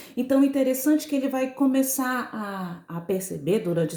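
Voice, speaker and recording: Speaking at a fairly slow pace, a woman moves through very wide pitch swings. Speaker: school teacher. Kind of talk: recorded lesson.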